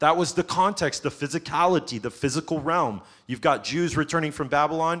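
With an animated tone and ordinary pitch variation, a man of fairly high pitch talks at a fairly quick pace in a very clean recording with a silent background. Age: 40s. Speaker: pastor. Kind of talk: sermon.

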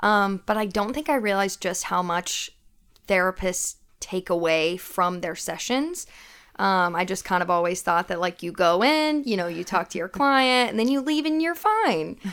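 A woman with an American accent has a plain, everyday voice at medium pitch, lively intonation, and a moderate pace. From US South, Knoxville, Tennessee. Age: 20s. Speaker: administrative assistant and social work student. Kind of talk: casual chat. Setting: studio.

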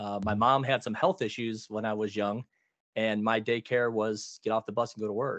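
At a moderate pace over a quiet background, a man with a plain, everyday voice speaks at medium pitch with fairly even intonation. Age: 40s. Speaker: heating, cooling and plumbing business owner. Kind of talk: casual interview.

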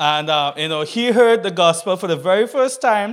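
Here a man speaks in an animated tone. His intonation is lively. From Trinidad and Tobago. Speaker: visiting preacher. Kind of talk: sermon.

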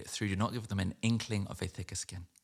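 On a very clean recording with a silent background, a man speaks in a London accent with monotone, flat intonation. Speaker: poet. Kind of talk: poetry reading; casual talk about the poem.

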